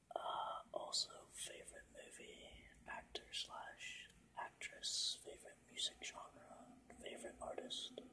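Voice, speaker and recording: The voice is a whisper. It moves at a fairly slow pace. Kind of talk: ASMR Q&A talk. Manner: whispered.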